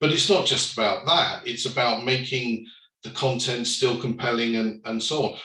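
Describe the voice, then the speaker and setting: His intonation stays fairly even. The man's voice carries audible room echo. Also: medium pitch for a man, moderate pace. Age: 60s. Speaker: company director, panellist. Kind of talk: panel discussion. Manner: hesitant, many fillers.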